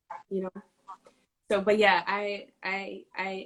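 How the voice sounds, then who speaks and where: A woman speaks with an American accent. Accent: New York, comes out sometimes. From New York City (South Bronx, Harlem). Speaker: city racial equity official and activist. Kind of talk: interview conversation.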